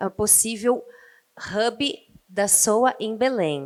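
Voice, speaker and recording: The recording of this woman is very clean, with a silent background. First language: Portuguese. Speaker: ocean nonprofit representative. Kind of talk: panel introduction. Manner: halting.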